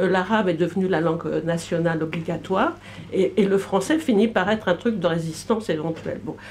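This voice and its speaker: This woman speaks at a moderate pace. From Brittany, France. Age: 60s. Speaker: audience member. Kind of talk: public debate. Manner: halting.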